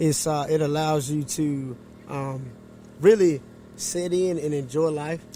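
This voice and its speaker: A man with a North Carolina accent speaks fairly slowly in a fairly high voice with fairly even intonation, leaving long, frequent pauses. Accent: Southern US, North Carolina. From eastern North Carolina, US South. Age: 30s. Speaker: barber and horseman. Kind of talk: casual chat. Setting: podcast interview.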